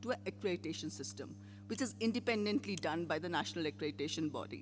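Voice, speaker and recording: Very wide swings run through the fairly high pitch of a man's voice. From India. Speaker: public health program leader. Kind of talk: conference panel presentation.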